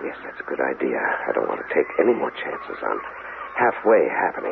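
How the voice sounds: A man's put-on character voice, extremely low, with vocal fry and big pitch swings over clear background noise. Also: moderate pace.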